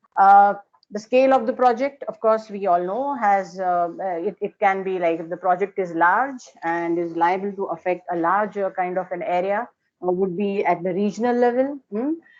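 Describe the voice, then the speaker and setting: At a moderate pace, a woman speaks with an Indian accent. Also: medium pitch for a woman, ordinary pitch variation. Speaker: architecture lecturer. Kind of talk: lecture. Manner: hesitant, many fillers.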